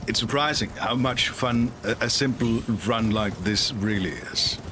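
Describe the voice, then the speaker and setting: A man with a non-native accent speaks at a medium pitch and a fairly slow pace, with noticeable background noise behind him. His loudness is very even and his intonation fairly even. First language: not English. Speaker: video game streamer. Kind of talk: live stream commentary. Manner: casual, with hesitations.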